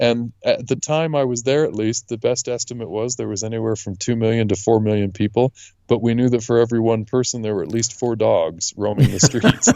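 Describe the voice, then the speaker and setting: A man with a Western US accent and a dark, mellow tone talks at medium pitch and a fairly quick pace, with hardly any pauses. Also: fairly even intonation. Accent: American, western US. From Utah. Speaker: lawyer and podcast guest. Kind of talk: interview conversation.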